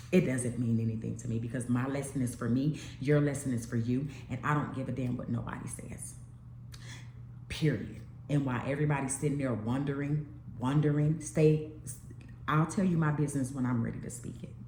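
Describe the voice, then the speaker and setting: An animated woman's voice, very deep and low, at a fairly quick pace with long, frequent pauses and audible room echo. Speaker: YouTube vlogger. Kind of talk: casual monologue vlog.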